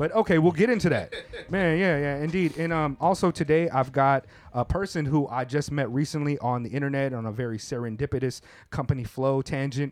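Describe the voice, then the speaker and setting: A man's normal speaking voice, fairly high in pitch with ordinary pitch variation, at a fairly quick pace. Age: 30s. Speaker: podcast host. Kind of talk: casual chat. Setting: studio.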